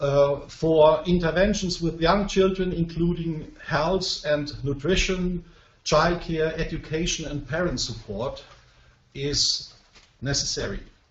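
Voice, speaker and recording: A man with a non-native accent speaks at a very slow pace in a high pitch. His pitch varies in an ordinary way, and there is noticeable background noise. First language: not English. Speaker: professor presenting research. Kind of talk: webinar presentation. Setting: online web conference. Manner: slow, simple sentences; hesitant, many fillers.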